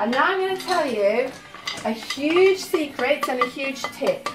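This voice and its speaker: A woman talks at a fairly slow pace while clear music plays in the background. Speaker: home cooking host. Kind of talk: cooking tutorial. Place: kitchen.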